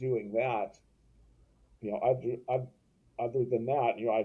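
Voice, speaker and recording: Somewhat breathy and dark, mellow in tone, this man's voice rests at medium pitch. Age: 60s. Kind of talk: interview. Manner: halting, many repetitions and false starts.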